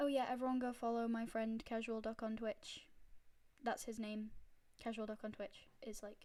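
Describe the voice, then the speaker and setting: This woman talks at a moderate pace with a fairly high pitch. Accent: Yorkshire. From northern England, Yorkshire. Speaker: streamer. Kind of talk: live stream, reading fanfiction aloud.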